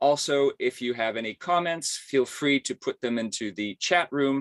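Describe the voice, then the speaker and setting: An unremarkable speaking voice moves at a moderate pace with ordinary pitch variation, in a dry, close sound with no echo. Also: man. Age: 60s. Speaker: symposium host. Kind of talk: webinar introduction. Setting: video call.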